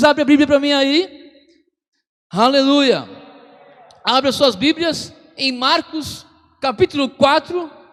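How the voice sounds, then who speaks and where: A man talking at a moderate pace. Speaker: pastor. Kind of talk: sermon.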